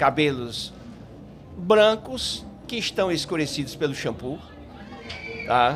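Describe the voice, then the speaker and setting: A man's fairly high voice, very slow with long, frequent pauses and very wide pitch swings, over noticeable background noise and audible room echo. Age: 60s. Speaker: psychologist. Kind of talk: podcast interview. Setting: live event stage at a festival.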